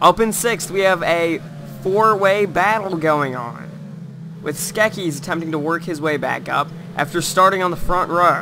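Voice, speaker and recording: Music playing behind speech of moderate pace and ordinary pitch variation. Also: man, high pitch for a man. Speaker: sim racing commentator. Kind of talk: live race commentary.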